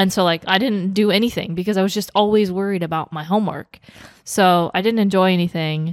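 Speaking with a plain, everyday voice, a woman at medium pitch keeps a fairly quick pace and fairly even intonation. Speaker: podcast host. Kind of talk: casual chat.

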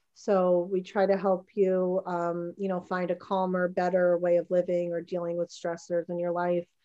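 A woman with an American accent speaks at a moderate pace, her pitch fairly low and her tone dark and mellow. Her intonation is monotone and flat, with hardly any pauses. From New Jersey. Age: 40s. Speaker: fitness studio owner. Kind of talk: casual interview.

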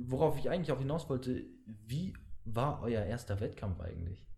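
A man speaks with a medium pitch and a dark, mellow tone that is somewhat breathy. Audible room echo surrounds him. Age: young. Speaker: podcast host. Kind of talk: casual chat.

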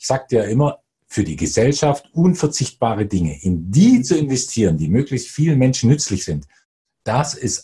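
Medium pitch from a man, with vocal fry, a dark, mellow tone, very wide pitch swings and a fairly quick pace. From Bavaria. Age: 40s. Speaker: investor. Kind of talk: interview.

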